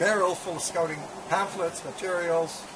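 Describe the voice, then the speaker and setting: Noticeable background noise and audible room echo surround a man whose voice has a high pitch. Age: 70s. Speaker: bushcraft instructor and author. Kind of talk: interview. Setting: seated interview on camera. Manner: halting, many fillers.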